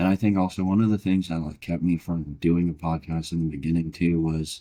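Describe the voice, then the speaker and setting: The voice has a calm, relaxed tone that is dark and mellow. It moves at a moderate pace with fairly even intonation. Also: man. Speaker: podcast co-host. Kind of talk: casual chat. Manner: monotone.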